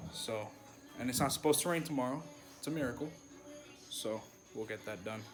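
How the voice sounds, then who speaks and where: A man's voice carries audible room echo. Music plays in the background. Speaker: car enthusiast vlogger. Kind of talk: casual vlog chat. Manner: monotone.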